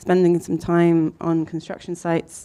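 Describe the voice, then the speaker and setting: Her voice is fairly low in pitch with a dark, mellow tone. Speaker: architect and design collective co-founder. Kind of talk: talk to an audience. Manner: mumbling; hesitant, many fillers.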